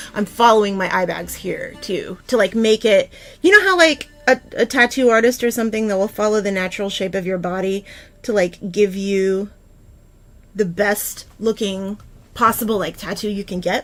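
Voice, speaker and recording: A medium-pitched woman at a moderate pace, with ordinary pitch variation and music in the background. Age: 40s. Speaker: makeup livestreamer. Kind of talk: casual livestream chat with makeup tutorial. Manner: casual, filler-heavy.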